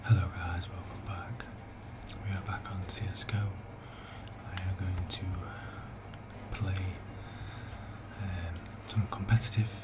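Fairly slow speech with long, frequent pauses over loud background noise. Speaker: gaming ASMR creator. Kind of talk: ASMR gaming commentary, casual talk to camera. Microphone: studio mic.

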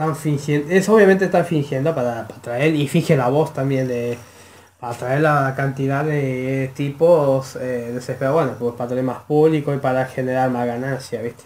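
Here a man speaks with a Rioplatense accent. He keeps a moderate pace. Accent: Argentine Rioplatense Spanish. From Argentina. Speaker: YouTube reaction creator. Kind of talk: video reaction commentary. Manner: halting, many fillers. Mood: opinionated, scornful.

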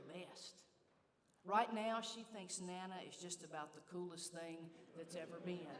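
Audible room echo surrounds a woman speaking at a moderate pace. Her pitch is fairly low, with ordinary variation. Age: 60s. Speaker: church leader. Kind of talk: speech. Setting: church.

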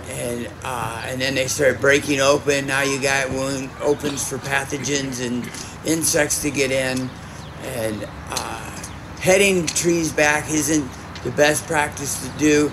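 Very slow male speech with fairly even intonation amid noticeable background noise. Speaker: speaker. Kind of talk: informal talk to audience. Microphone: camera far.

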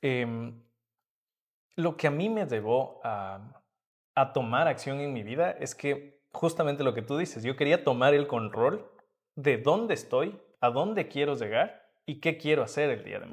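Against a quiet background, a man with a fairly high pitch speaks at a fairly slow pace, with big swings in loudness. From Ecuador, Atuntaqui near Quito; Ecuador. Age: young. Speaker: entrepreneur and mentor; guest. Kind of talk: interview. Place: hall. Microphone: camera far.

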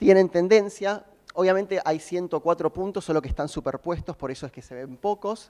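A man speaks with an Argentine accent. His pitch is high. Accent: Argentine Spanish (Rioplatense). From Argentina. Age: 20s. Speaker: software developer. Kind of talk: conference talk.

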